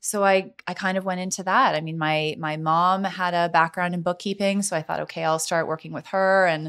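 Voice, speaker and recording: A fairly quick pace and an ordinary speaking voice, on a very clean recording with a silent background. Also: woman. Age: 40s. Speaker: realtor. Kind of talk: casual chat.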